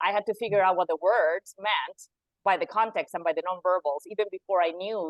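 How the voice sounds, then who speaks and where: Speaking at a fairly quick pace with a non-native accent, a woman has a medium pitch and a dry, close sound with no echo. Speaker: coach. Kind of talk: interview conversation.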